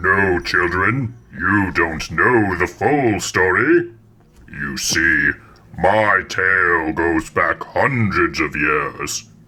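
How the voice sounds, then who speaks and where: This man's put-on character voice sits at a very deep, low pitch. Each word comes out at a very slow pace. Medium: audio drama. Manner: theatrical, menacing.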